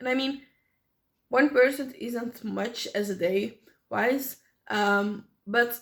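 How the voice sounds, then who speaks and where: A woman speaks with a non-native accent and a high pitch. Her intonation is lively and her pace fairly slow. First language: not English. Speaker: small business owner and vlogger. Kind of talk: unscripted vlog monologue. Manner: halting, with many fillers.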